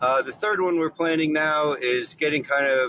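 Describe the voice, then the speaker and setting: A man at a moderate pace, fairly high in pitch, with a plain, everyday voice. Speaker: caller. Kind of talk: casual question. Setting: phone call.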